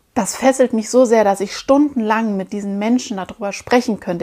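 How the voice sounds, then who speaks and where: A woman talks at a moderate pace with ordinary pitch variation in a very clean recording with a silent background. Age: 30s. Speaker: podcast host, personal development coach. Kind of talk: solo podcast monologue. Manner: animated.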